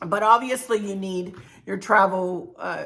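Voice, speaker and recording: A woman has an unremarkable speaking voice at a medium pitch. She talks at a fairly slow pace with fairly even intonation. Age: 60s. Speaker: travel vlogger. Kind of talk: casual tutorial. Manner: chatty.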